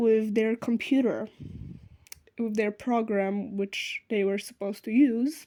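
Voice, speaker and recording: A woman with a non-native accent speaks fairly slowly at a fairly high pitch with fairly even intonation. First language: not English. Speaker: sewing vlogger. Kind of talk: unscripted vlog outro. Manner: halting, many fillers.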